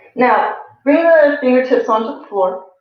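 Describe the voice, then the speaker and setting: Ordinary pitch variation with audible room echo. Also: woman. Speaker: yoga teacher. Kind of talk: guided yoga class. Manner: calm, instructive.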